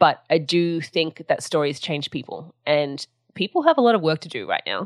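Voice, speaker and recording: A woman with a very deep, low pitch comes through dry and close, with no echo. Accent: Australian. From Sydney, Australia. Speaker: writer and podcast host. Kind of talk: interview.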